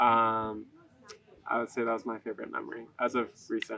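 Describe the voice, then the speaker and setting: A man speaks with monotone, flat intonation. The sound is dry with no echo, over light background noise. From California. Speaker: college runner. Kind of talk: interview. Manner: casual, with many fillers. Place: waterside.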